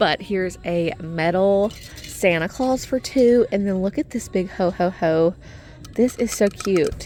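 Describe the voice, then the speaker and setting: A fairly slow pace and ordinary pitch variation, with music in the background. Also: woman, medium pitch for a woman. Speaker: shopping vlogger. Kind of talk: casual shopping vlog narration. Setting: in a store. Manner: animated.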